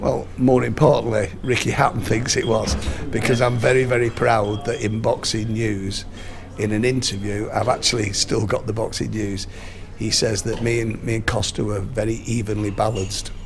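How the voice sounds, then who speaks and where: With music in the background and audible room echo, a man speaks at a moderate pace with fairly even intonation. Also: medium pitch for a man. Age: 60s. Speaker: boxing strength and nutrition coach. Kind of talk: interview. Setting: outdoors at a rugby match.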